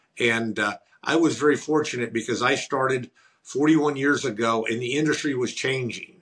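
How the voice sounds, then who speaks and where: A man speaks with a Missouri accent at a moderate pace. His intonation stays fairly even. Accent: Midland American, Missouri. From US Midwest, rural southern Missouri. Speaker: entrepreneur and author. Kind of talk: interview.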